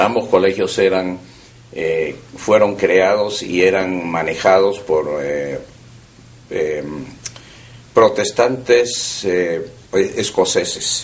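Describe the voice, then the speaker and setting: Through noticeable background noise and audible room echo, a man speaks at a very slow pace with long, frequent pauses. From Peru (Lima), born in Vienna. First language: German (speaking Spanish). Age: 70s. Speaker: oral history interviewee. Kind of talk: oral history interview. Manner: hesitant with frequent fillers.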